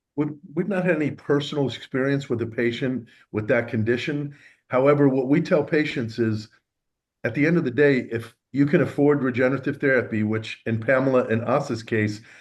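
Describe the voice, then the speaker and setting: Delivered in an ordinary speaking voice with ordinary pitch variation, the speech moves at a fairly quick pace. The background is quiet. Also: man, medium pitch for a man. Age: 60s. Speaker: stem cell therapy practitioner. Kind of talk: interview.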